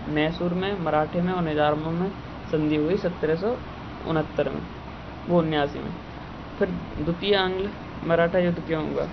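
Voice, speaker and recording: Over noticeable background noise, a man with a high pitch speaks with long, frequent pauses. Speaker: student preparing for competitive exams. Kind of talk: history revision lecture.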